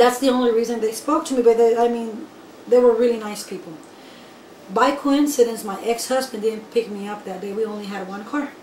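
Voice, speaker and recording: A woman's fairly high voice at a moderate pace, with long, frequent pauses, big swings in loudness, ordinary pitch variation, audible room echo and noticeable background noise. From raised in the US from age 6, born in Nicaragua. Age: 30s. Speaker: undocumented immigrant. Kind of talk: personal testimony interview.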